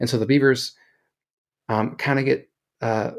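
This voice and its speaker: With an American accent, the speaker talks at a fairly quick pace. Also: man. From US Midwest, Kansas City. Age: 30s. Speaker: school teacher and author. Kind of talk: casual interview. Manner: hesitant, many fillers.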